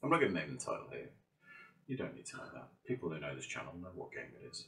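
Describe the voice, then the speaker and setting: The speaker has a British accent. The tone is dramatic. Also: man. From Britain. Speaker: gaming YouTuber and VR game developer. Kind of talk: casual monologue vlog. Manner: mock-dramatic, conversational.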